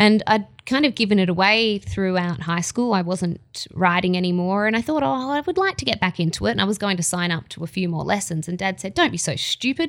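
At a fairly quick pace and with hardly any pauses, a woman speaks in a medium pitch with lively intonation. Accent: Australian. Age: 20s. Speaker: racing presenter and former track rider. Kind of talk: casual chat. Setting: racecourse bar.

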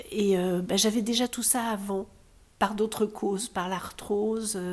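Here a woman talks at a very slow pace. Her medium-pitched voice keeps a fairly even intonation. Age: 60s. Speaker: breast cancer patient. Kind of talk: testimony.

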